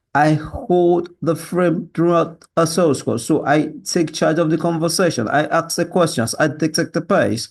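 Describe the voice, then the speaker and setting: Over a quiet background, a man with a high pitch speaks at a moderate pace, keeping his loudness very even and his pitch variation ordinary. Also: hardly any pauses. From Nigeria. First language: Yoruba. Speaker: sales job applicant. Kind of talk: video job application. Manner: halting.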